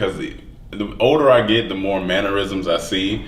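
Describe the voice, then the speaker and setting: A man's fairly low voice at a fairly slow pace, with audible room echo and noticeable background noise. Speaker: comedian. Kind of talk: casual chat. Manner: mumbles at times.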